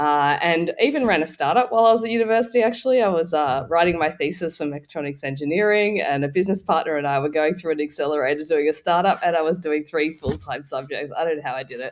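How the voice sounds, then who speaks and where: Talking very fast, a man with an Australian accent hardly pauses at all. His pitch is fairly high and his intonation lively. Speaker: tech startup founder. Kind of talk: interview. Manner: halting.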